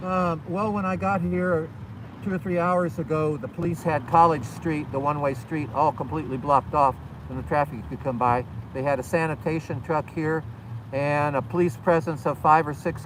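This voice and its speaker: Noticeable background noise sits behind the speech. The pace is moderate. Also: man, fairly high pitch for a man, ordinary pitch variation. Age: 70s. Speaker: war veteran and volunteer. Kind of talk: interview.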